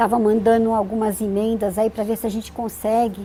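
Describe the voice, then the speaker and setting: Her fairly high voice moves at a fairly slow pace, the woman's intonation flat and monotone. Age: 60s. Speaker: animal welfare NGO president. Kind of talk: TV interview. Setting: studio. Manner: halting, many fillers.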